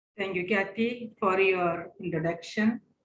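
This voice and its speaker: Her intonation is monotone and flat, and she talks at a fairly slow pace. The woman has a medium pitch and an Indian accent. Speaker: religious sister and spiritual director. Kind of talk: webinar presentation.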